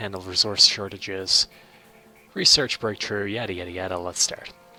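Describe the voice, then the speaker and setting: A fairly low-pitched man over music in the background. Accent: Irish. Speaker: gaming let's play video maker. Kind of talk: game commentary. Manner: casual, hesitant with fillers.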